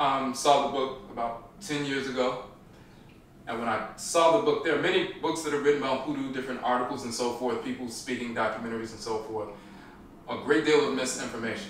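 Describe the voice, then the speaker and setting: Over light background noise and audible room echo, a man speaks at a fairly quick pace with ordinary pitch variation. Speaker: podcast host. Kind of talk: podcast introduction. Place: home room.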